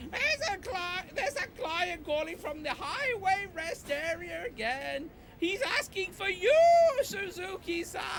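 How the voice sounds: Over clear background noise, a female-sounding voice does a put-on character voice at an extremely high pitch and a fairly slow pace.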